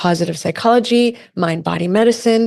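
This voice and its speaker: A woman with a plain, everyday voice speaks at a fairly quick pace with ordinary pitch variation. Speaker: podcast host. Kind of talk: podcast intro. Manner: upbeat.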